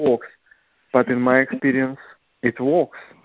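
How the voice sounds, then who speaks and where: This man speaks at a medium pitch. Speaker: caller. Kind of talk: casual chat. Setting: phone call. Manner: halting.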